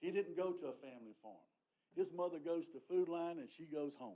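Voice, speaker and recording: Speaking at a fairly quick pace in a Southern US accent, a man uses a high-pitched voice with a dark, mellow tone. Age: 60s. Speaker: public commenter at county meeting. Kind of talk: public comment. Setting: county planning meeting. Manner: animated.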